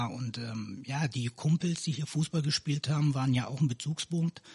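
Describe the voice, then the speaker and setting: Somewhat breathy speech at a moderate pace, with ordinary pitch variation and a dry, close sound with no echo. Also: man. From Canary Islands, raised in Neuss (Rhineland) since 1989. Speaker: local politician. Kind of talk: casual interview.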